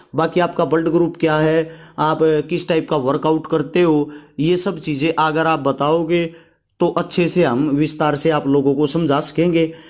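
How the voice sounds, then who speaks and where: His pitch is fairly high for a man. The intonation is monotone and flat, and the loudness is very even. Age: 30s. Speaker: fitness YouTuber. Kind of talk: informal advice vlog. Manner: conversational.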